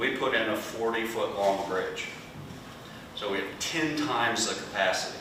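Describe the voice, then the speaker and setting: Over noticeable background noise and audible room echo, a man talks at a moderate pace in a medium pitch with ordinary pitch variation. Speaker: conservation nonprofit panelist. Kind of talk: panel discussion. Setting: workshop with small live audience. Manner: loud. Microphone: no microphone, room sound.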